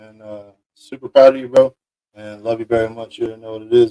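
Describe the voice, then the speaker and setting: Dry and close with no echo, a man's voice is heard. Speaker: podcast host. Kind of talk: live stream shout-outs. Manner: fast.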